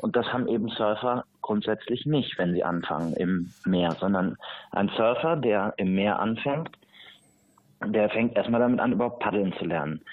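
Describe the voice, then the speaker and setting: A man speaks with an ordinary speaking voice at medium pitch, moderate pace and ordinary pitch variation. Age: 20s. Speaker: surfing association president and surf instructor trainer. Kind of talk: interview.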